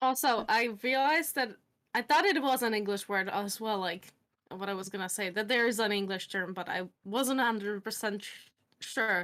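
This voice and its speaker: In a Czech accent, a woman with a bright, sharp tone and fairly high pitch speaks with ordinary pitch variation, recorded very cleanly over a silent background. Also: moderate pace. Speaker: stream participant. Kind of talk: casual chat.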